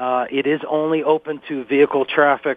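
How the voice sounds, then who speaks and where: Fairly high in pitch, a man with an American accent speaks in an unremarkable speaking voice. His intonation stays fairly even. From northeast Pennsylvania. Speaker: wildlife center staff, bear product tester. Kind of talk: interview.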